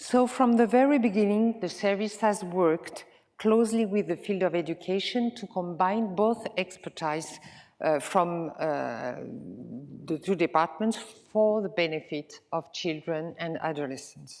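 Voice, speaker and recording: A woman of medium pitch speaks with a Swiss French accent, using lively intonation at a fairly slow pace. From French-speaking Switzerland, Lausanne. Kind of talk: conference presentation. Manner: halting with filler sounds.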